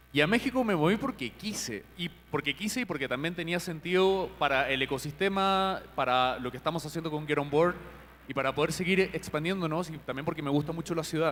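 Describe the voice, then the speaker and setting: A normal speaking voice moves along at a fairly quick pace, its pitch varying in an ordinary way. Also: man, fairly high pitch for a man. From Chile. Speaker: company CEO, panel moderator. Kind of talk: panel discussion moderation.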